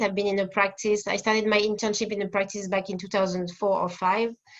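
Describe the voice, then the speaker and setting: Fairly quick and monotone, a woman with a French accent speaks with flat intonation. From France, Paris. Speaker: family therapist. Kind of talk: interview. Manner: halting.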